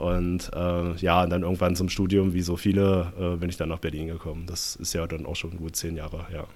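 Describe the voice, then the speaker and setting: A man with a very deep, low pitch talks in a monotone, flat intonation, with hardly any pauses. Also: moderate pace. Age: 20s. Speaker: economist and party activist. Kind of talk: casual interview conversation.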